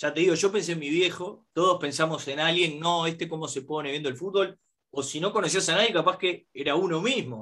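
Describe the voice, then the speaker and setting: At a fairly quick pace, the voice has a bright, sharp tone and ordinary pitch variation. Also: man, high pitch for a man. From Uruguay. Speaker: podcast host. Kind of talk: casual chat.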